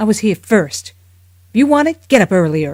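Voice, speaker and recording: A put-on character voice with a fairly high pitch swings very widely in pitch at a moderate pace. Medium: read story.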